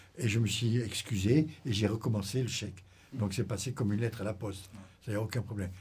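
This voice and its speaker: Somewhat breathy, a man talks at a very fast pace with fairly low pitch. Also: ordinary pitch variation. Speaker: retired intelligence officer. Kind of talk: interview.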